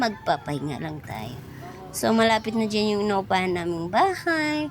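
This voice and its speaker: A woman talks at a medium pitch. Her pitch swings very widely. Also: moderate pace. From Eastern Visayas (Waray). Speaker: vlogger. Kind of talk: vlog narration. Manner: casual, chatty.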